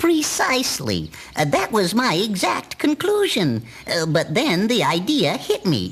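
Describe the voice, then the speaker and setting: A man puts on a cartoonish character voice. He speaks at a fairly slow pace. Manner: hesitant, full of uh's and chuckles.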